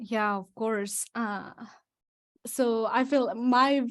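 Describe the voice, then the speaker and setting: A woman with a Spanish accent speaks at a fairly high pitch. Her intonation is fairly even, on a very clean recording with a silent background. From Mexico. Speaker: real estate investor. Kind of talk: testimony.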